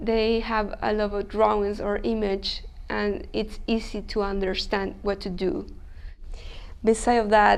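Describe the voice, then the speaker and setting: A woman's fairly high-pitched voice at a fairly slow pace, with audible room echo. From Chile. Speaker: language student. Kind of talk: interview. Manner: hesitant, non-native phrasing.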